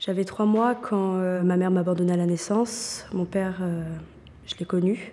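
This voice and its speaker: Dark, mellow tone from a woman at medium pitch, fairly slow pace and fairly even intonation. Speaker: young volunteer in a job-training programme. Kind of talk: testimony.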